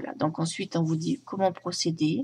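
Her voice swings very widely in pitch around a medium level for a woman. She speaks at a fairly slow pace and sounds somewhat breathy. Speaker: tarot and oracle card reviewer; oracle deck reviewer. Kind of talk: product review. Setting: home recording at night. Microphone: phone near.

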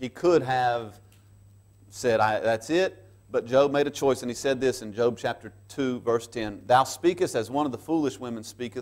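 A man talks fairly slowly with ordinary pitch variation, and the background is quiet. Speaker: pastor. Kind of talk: sermon. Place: church. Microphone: lapel.

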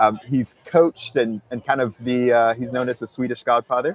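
A man at a moderate pace with fairly even intonation, in a dry sound with no echo. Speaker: podcast host. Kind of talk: show intro and interview questions. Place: street. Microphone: lapel.

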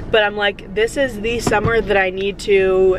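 A woman speaks at a fairly slow pace. Noticeable background noise is present, and the sound is dry with no echo. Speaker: vlogger. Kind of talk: casual vlog chat. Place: car.

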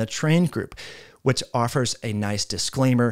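Against a quiet background, a man is speaking. He moves at a fairly quick pace, and his pitch varies in an ordinary way. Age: 40s. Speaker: health educator. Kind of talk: explainer of a research study. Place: home room. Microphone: studio mic.

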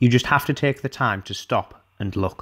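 A man talks with a Teesside accent. His pitch is medium. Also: very clean recording, silent background. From Teesside, North East England. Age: young. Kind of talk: reading his own prose piece as film voice-over.

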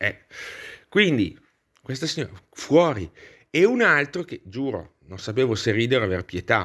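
Speaking with a non-native accent, a man uses a medium pitch with very wide pitch swings at a fairly slow pace. The recording is very clean, with a silent background. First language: not Italian (speaking Italian). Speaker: YouTuber, political commentator. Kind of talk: video monologue, political commentary. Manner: animated.

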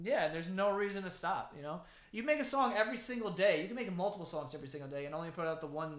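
Fast and high-pitched, a man speaks with lively intonation.

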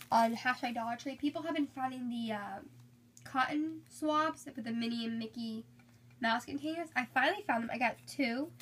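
Moderate pace and ordinary pitch variation, with light background noise. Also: woman. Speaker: beauty vlogger. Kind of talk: haul video. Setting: filming at home, poor lighting. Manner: casual, chatty. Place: home room. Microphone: phone near.

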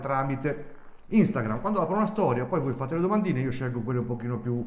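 A man's voice comes with audible room echo. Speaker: channel host. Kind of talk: casual vlog chat. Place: shop. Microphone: phone near.

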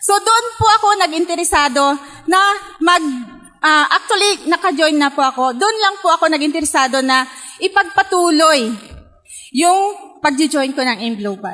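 With a raised, projected voice and extremely high pitch, a woman talks at a moderate pace with very wide pitch swings and long, frequent pauses against a quiet background. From Philippines, Pangasinan; Philippines. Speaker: network marketing distributor; speaker. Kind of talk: testimony. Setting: stage with audience. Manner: halting. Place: hall. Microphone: handheld.

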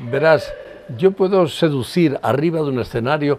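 The speaker is a man with a dark, mellow tone. He keeps a moderate pace. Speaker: stage actor. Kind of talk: interview answer. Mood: warm, reflective. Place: garden. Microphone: lapel.

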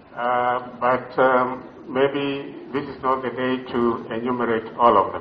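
In a room with audible echo and light background noise, a man speaks at a fairly slow pace with monotone, flat intonation and big swings in loudness. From Western Kenya. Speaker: university council chairman. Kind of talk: ceremonial speech. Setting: graduation ceremony with audience. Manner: formal. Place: hall. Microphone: podium.

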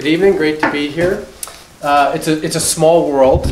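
A man is speaking. There is audible room echo along with light background noise. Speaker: guest. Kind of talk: formal introduction speech. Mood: warm, lightly humorous. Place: classroom. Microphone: camera far.

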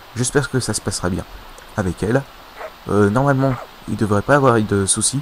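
A man's voice with ordinary pitch variation, over noticeable background noise. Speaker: video game YouTuber. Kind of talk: casual gaming commentary. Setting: home recording, voiceover on gameplay. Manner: hesitant, filler words, casual.

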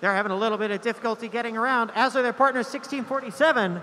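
A raised, projected voice comes at a fairly quick pace with ordinary pitch variation. Light background noise is present. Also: man. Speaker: game announcer. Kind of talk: live sports-style commentary. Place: hall.

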